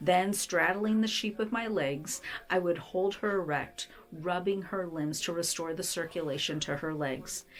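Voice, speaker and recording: A woman with a gentle tone and a fairly low pitch speaks fairly slowly with lively intonation over noticeable background noise. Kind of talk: devotional book reading. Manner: gentle, tender.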